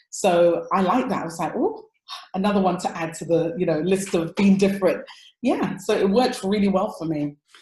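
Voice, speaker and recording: A woman's somewhat breathy voice with an English accent, a dark, mellow tone, ordinary pitch variation and a moderate pace. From London, Tottenham. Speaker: relationship coach. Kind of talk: interview conversation. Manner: animated.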